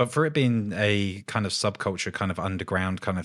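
This man has a normal speaking voice with a fairly low pitch. He talks at a fairly quick pace. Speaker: podcast host and tattoo artist. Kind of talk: casual interview chat. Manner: laughs often.

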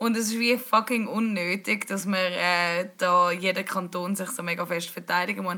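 The speaker has a Swiss accent and ordinary pitch variation. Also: woman. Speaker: podcast host. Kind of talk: casual chat.

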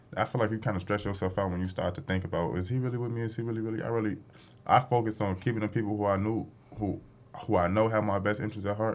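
Talking at a very fast pace, a man keeps a fairly low pitch and fairly even intonation. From Chicago. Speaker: clothing brand founder. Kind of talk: casual chat.

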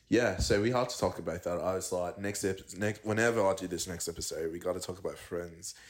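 In an Australian accent, a man speaks very fast with hardly any pauses. His voice is very deep and low, the intonation fairly even. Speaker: podcast host. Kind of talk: casual chat over drinks. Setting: recorded in friend's apartment, audio only.

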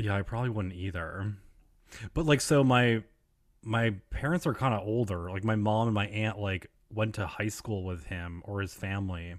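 Here is a man with an unremarkable speaking voice and a fairly low pitch. He talks at a moderate pace with ordinary pitch variation, in a very clean recording with a silent background. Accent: American. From upstate New York (Elmira). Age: 30s. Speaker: podcast host. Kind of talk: casual interview chat.

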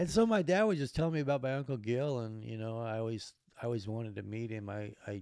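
This man speaks at a very fast pace. His tone is dark and mellow, with ordinary pitch variation. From Alaska. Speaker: wheelchair user telling life story. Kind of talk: casual chat.

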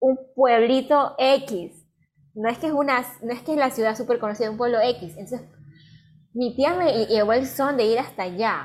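A woman with a plain, everyday voice talks at a moderate pace and fairly high pitch. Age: 20s. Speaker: podcast co-host, art student. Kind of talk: casual chat.

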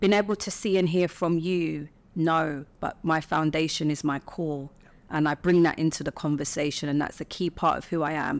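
The speech moves at a moderate pace with fairly even intonation. The recording is very clean, with a silent background. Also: woman, very deep, low pitch for a woman. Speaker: podcast host. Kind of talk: interview conversation.

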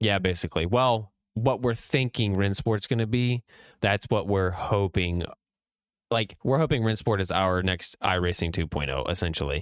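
Speaking in a normal speaking voice with an American accent, a man talks at a moderate pace with a fairly low pitch, ordinary pitch variation and very even loudness, in a very clean recording with a silent background and a dry, close sound with no echo. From Virginia, Richmond. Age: 20s. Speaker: sim racer and former amateur race driver. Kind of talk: casual chat.

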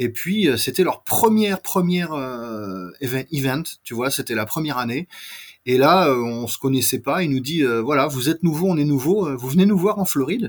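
Lively intonation from a man with a fairly high pitch, at a moderate pace. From France. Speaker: scale model company owner. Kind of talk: interview.

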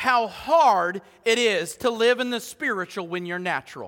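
Here a man uses a raised, projected voice at an extremely high pitch. His tone is bright and sharp, with ordinary pitch variation. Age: 40s. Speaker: pastor. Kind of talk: sermon. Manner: animated.

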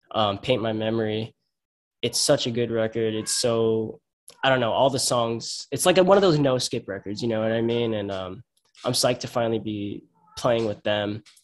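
Speaking with a Long Island accent, a man of medium pitch keeps a moderate pace and ordinary pitch variation. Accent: Long Island New York. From Long Island, New York. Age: 20s. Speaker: hardcore band singer and guitarist. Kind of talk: casual interview.

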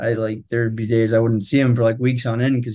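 A man with an American accent talks at medium pitch and a fairly quick pace in a monotone, flat delivery, against a quiet background. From California, Central Valley. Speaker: product manager. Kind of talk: casual interview.

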